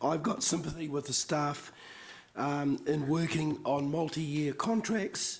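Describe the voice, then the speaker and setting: A man does a put-on character voice that is croaky, hoarse, and raspy, pitched fairly high. He speaks at a fairly slow pace over light background noise. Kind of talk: formal council meeting.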